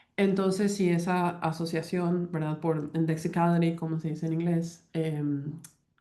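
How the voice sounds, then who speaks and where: Hardly pausing, a woman speaks fairly slowly in a fairly low, dark, mellow voice with monotone, flat intonation. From Paraguay. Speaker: linguistics professor. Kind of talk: academic talk. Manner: halting, many fillers and false starts.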